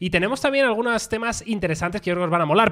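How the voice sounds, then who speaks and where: A man's voice with a bright, sharp tone. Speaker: tech podcast host. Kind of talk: casual chat. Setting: studio, streamed live on video.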